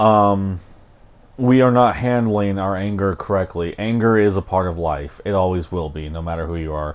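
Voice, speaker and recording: A man with an American accent talks at a moderate pace with a very deep, low pitch and ordinary pitch variation. The recording is very clean, with a silent background. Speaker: YouTuber. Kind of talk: vlog commentary. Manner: halting.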